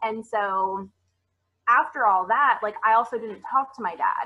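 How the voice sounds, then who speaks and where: In an ordinary speaking voice, a woman talks at a fairly high pitch and a fairly slow pace, with ordinary pitch variation. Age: 20s. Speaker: women's life coach. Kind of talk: casual interview chat. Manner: casual, filler-heavy.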